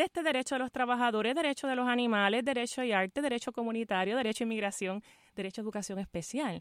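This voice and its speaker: The delivery is very fast with ordinary pitch variation, recorded very cleanly against a silent background with a dry, close sound and no echo. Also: woman, fairly high pitch for a woman. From Puerto Rico, Fajardo. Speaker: law school dean. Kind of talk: radio interview. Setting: radio studio, live.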